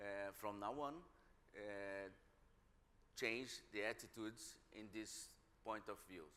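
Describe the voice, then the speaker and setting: With a Brazilian Portuguese accent, a man talks very slowly in a bright, sharp tone at a fairly low pitch, his intonation fairly even and his pauses long and frequent. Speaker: museum director. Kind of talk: panel discussion. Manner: halting, many repetitions.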